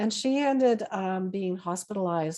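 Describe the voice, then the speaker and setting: A woman with a Canadian accent, medium pitch, a dark, mellow tone, ordinary pitch variation and a moderate pace. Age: 60s. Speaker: retired nurse. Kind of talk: interview. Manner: hesitant, many fillers.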